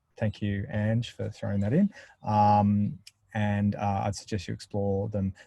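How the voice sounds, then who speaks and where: A man's fairly low, dark, mellow voice at a fairly slow pace with fairly even intonation. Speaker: software product presenter. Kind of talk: webinar Q&A. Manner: mumbling.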